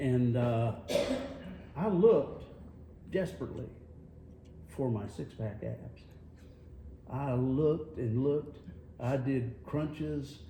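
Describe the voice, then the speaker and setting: Very slow and broken by long, frequent pauses, a man with a North Carolina accent speaks with lively intonation in a room with audible echo. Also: medium pitch for a man. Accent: Southern US (North Carolina). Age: 60s. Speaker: radio host. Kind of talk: casual chat. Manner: animated.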